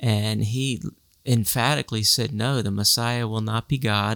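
In a very clean recording with a silent background, a man with an ordinary speaking voice talks at a fairly slow pace and medium pitch, his intonation fairly even. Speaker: senior pastor. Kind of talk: casual chat.

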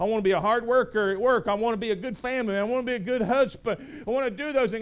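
At a very fast pace, a man talks in an extremely high pitch. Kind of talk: sermon. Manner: animated, emphatic, repeats phrases for punch; conversational, folksy, joking.

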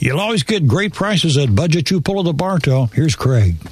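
Against noticeable background noise, this man talks with very wide pitch swings. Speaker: station announcer reading sponsor messages. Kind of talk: scripted sponsor announcements.

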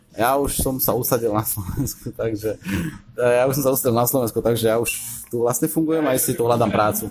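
In an ordinary speaking voice, a man talks at a fairly quick pace with medium pitch, fairly even intonation and very even loudness. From western Slovakia (Hlohovec area). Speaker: engineering PhD student. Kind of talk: casual interview.

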